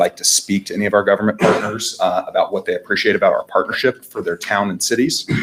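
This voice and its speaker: Music plays underneath as a man rattles off his words extremely fast. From Indiana. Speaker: fleet management sales representative. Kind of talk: business presentation. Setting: town council meeting.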